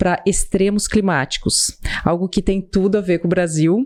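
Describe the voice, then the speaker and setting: A woman with a Brazilian accent talks at a moderate pace, her fairly low voice rising and falling in an ordinary way. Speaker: podcast host. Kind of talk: podcast introduction.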